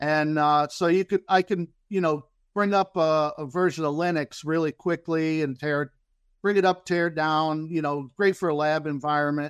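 Moderately paced speech from a man with an American accent, fairly high in pitch, dry and close with no echo, over a quiet background. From Central Florida. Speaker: crypto newcomer. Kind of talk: presentation. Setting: remote call. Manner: halting.

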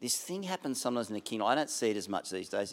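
A man with an Australian accent at medium pitch, his voice making very wide pitch swings, on a very clean recording with a silent background. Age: 60s. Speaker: pastor. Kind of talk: sermon. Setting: church.

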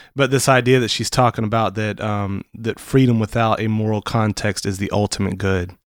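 An ordinary speaking voice from a man, fairly low-pitched, at a moderate pace with hardly any pauses and fairly even intonation, on a very clean recording with a silent background. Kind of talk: casual chat. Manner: joking, talkative.

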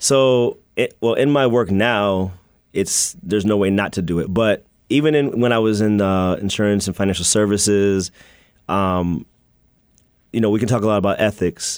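A man's fairly low voice with an American accent, an unremarkable speaking voice at a moderate pace, ordinary pitch variation and very even loudness, in a very clean recording with a silent background. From US Mid-Atlantic (Maryland and Virginia). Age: young. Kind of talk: radio interview.

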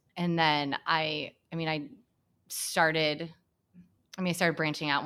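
A woman with an American accent speaks at a very deep, low pitch with fairly even intonation, in a very clean recording with a silent background. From Hamilton, Michigan, US Midwest. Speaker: school staff member. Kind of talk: casual chat.

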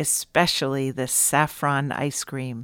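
Recorded very cleanly against a silent background, a woman speaks at a fairly slow pace in a dry, close sound with no echo. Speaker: podcast host. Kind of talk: scripted intro with interview. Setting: studio.

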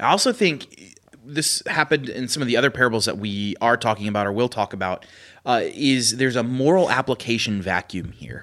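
In a normal speaking voice with an American accent, a man speaks at a medium pitch and a fairly quick pace, with ordinary pitch variation. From Pennsylvania. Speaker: pastor, podcast co-host. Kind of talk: casual chat.

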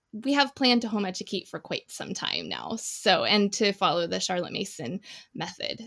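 Moderate pace with an American accent in a dry, close sound with no echo. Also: woman. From US Midwest, Indiana. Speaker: homeschooling mother, education graduate. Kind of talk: casual chat.

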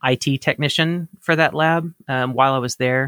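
An ordinary speaking voice from a man with an American accent, fairly high in pitch, fairly even in intonation and fairly slow in pace, with a dry, close sound and no echo. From US South, Mississippi. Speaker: cannabis scientist and podcast host. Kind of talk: interview. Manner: many filler words (um).

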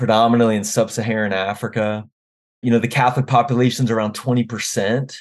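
With an American accent, a man talks at a fairly quick pace in a medium pitch. His intonation is monotone and flat, over a quiet background. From US, Washington D.C. area. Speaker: theology professor. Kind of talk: interview conversation.

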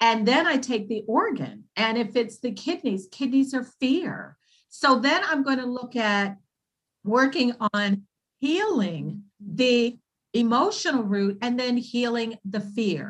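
A woman with a high voice and lively intonation talks very slowly. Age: 60s. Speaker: naturopath. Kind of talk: casual interview.

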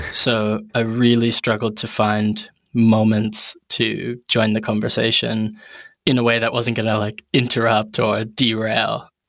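With an American accent, a man speaks at a fairly slow pace in a monotone, flat intonation. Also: medium pitch for a man. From New Haven, Connecticut, US. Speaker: product designer. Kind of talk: casual interview chat.

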